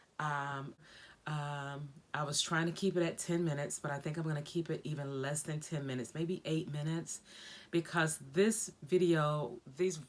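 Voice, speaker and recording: A woman talks at a moderate pace with fairly even intonation. Her pitch is very deep and low. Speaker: vlogger living with multiple sclerosis. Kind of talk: personal video diary. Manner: occasionally slurred speech.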